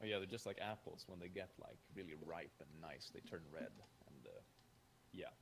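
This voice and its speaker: With a Swedish accent, a man talks at a moderate pace. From Sweden. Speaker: YouTuber guest. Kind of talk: casual chat.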